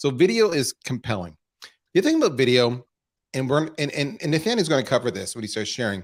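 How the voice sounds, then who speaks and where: A man talks at a medium pitch and a very fast pace. His pitch swings very widely. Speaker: marketing executive, webinar host. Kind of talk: live webinar presentation. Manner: stutter; animated.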